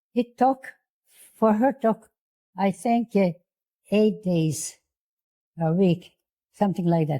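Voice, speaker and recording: Somewhat breathy speech comes at a very slow pace with long, frequent pauses, ordinary pitch variation, and a dry, close sound with no echo. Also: woman, medium pitch for a woman. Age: 80s+. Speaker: Holocaust survivor. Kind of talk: interview answer.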